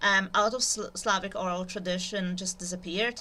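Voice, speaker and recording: A woman with a non-native accent speaks at a moderate pace in a bright, sharp tone. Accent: noticeable foreign. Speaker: YouTuber, literature educator. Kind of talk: informal lecture. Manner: hesitant, many fillers.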